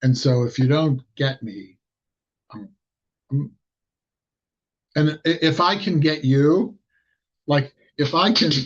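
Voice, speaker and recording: A man with a fairly high-pitched, somewhat breathy voice speaks very slowly, and his pitch varies an ordinary amount. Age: 60s. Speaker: lay preacher. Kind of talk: sermon. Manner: halting.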